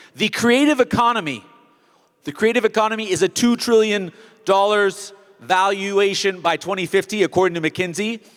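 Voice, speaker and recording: In a dry, close sound with no echo, a man with an American accent speaks at a high pitch with ordinary variation. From United States. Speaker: event host. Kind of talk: opening speech. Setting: stage with audience. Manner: fast.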